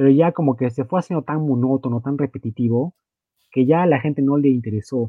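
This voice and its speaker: Speaking at a fairly quick pace, a man uses a medium pitch with ordinary variation. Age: 20s. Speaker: wrestling video game podcast co-host. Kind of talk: casual chat.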